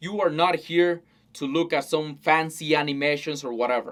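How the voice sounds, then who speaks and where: A man with a Spanish accent speaks at a moderate pace in a fairly high pitch. The recording is very clean, with a silent background. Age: 20s. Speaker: self-help vlogger. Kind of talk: unscripted talking-head monologue. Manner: casual, with some hesitations and repetitions.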